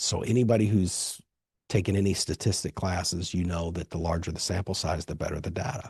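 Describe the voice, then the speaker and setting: A man's very deep, low voice, somewhat breathy, moving at a fairly quick pace with ordinary pitch variation over a quiet background. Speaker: podcast host and author. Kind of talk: solo podcast monologue. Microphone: dynamic studio microphone.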